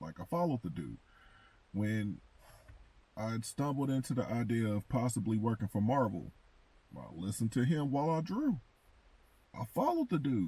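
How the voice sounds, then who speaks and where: A man with a medium pitch and a dark, mellow, somewhat breathy tone speaks at a moderate pace with lively intonation and long, frequent pauses. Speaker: comic book content creator and artist. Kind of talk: casual commentary monologue.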